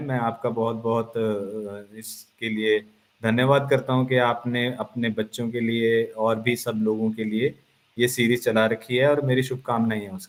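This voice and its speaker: Medium-pitched for a man, this man's voice stays monotone, with flat intonation. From Punjab, India. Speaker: sports psychologist. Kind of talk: lecture. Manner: halting, many fillers.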